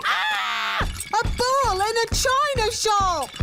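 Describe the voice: Over loud background noise, a female-sounding cartoonish character voice drawls at a very slow pace.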